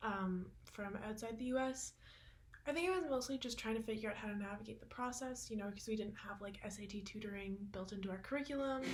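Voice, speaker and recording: Very fast speech with a Canadian accent over noticeable background noise. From Canada. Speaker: university student. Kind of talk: panel testimony.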